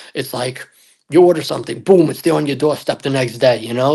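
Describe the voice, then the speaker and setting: Speaking at a fairly quick pace, a man uses a medium pitch and a dark, mellow tone with ordinary pitch variation. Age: 30s. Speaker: guest, photographer. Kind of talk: casual podcast chat. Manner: animated.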